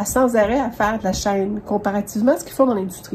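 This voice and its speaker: Noticeable background noise runs under speech at a fairly quick pace with ordinary pitch variation. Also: woman. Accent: Quebec. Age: 60s. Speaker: sewing podcaster. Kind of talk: tutorial. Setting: home sewing studio. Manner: casual, hesitant with many fillers.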